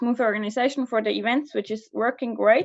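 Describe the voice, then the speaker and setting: A woman with a fairly high pitch and a Swiss German accent, against a quiet background. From Switzerland, Basel. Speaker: student association officer. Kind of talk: candidacy speech. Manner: casual, hesitant.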